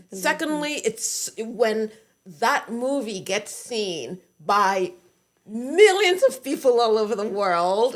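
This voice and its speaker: Here a woman talks at a very slow pace with a fairly high pitch. Her intonation is lively. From Britain. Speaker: actress. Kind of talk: interview answer.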